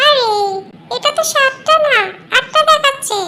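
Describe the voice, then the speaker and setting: A squeaky, cartoonish character voice at an extremely high pitch moves at a moderate pace. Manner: argumentative, cheeky.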